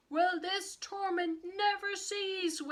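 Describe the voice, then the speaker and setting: Putting on a squeaky character voice, a woman speaks at an extremely high pitch in a flat monotone. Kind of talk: storybook. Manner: wailing, despairing.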